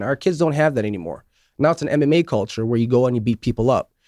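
An unremarkable speaking voice from a man, medium in pitch with lively intonation, dry and close with no echo, on a very clean recording with a silent background. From New York State, Syracuse. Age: 40s. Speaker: martial arts instructor. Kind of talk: radio interview. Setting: radio studio.

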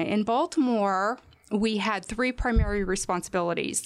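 With an American accent and ordinary pitch variation, a woman speaks at a medium pitch in a plain, everyday voice. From Washington State. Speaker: crime tip program director. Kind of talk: radio interview.

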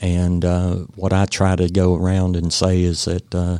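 The speaker has an Appalachian accent and a monotone, flat intonation. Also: man. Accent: Southern US (Appalachian). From Western North Carolina. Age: 50s. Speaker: realtor and veteran. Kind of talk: radio interview. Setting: radio studio. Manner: halting, many fillers.

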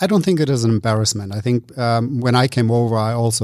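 A man with a German accent speaks at a medium pitch in a dark, mellow tone. The recording is very clean, dry and close, with a silent background and no echo. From Germany. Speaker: beverage entrepreneur. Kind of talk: casual interview. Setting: office space, in person.

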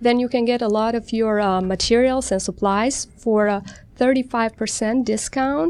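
A woman with an American accent and a plain, everyday voice speaks at a fairly slow pace, her fairly high pitch kept to fairly even intonation against a quiet background. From outside the US. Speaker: general dentist. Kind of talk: radio interview. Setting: studio.

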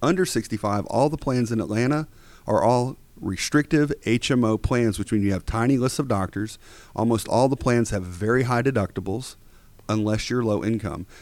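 In a normal speaking voice, a man with an American accent talks at a moderate pace. His pitch is medium, with ordinary variation. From Georgia, US South. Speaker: Medicare insurance agency owner. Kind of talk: radio interview.

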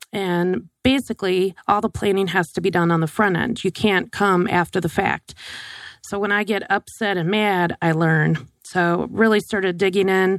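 A woman with an American accent and a plain, everyday voice speaks at a moderate pace, medium in pitch with fairly even intonation. The recording is very clean, with a silent background and a dry, close sound with no echo. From US, Wisconsin and other northern states. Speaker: financial advisor, social security expert. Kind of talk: radio interview. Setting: radio studio.

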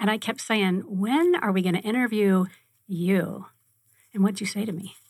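A woman speaks at a moderate pace in a medium, somewhat breathy voice with ordinary pitch variation. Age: 50s. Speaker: radio host. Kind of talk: casual chat. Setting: studio.

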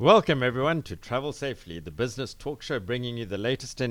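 A man with a South African accent speaks at a fairly quick pace in a medium pitch with ordinary variation, captured in a very clean recording with a silent background. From South Africa, Cape Town. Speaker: business radio host. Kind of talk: interview. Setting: studio.

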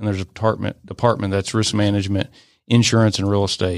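A man with an American accent talks at a very fast pace in a fairly low, monotone voice with flat intonation, on a very clean recording over a silent background. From US South, Atlanta area. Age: 30s. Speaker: real estate investment executive. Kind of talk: radio interview. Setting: studio.

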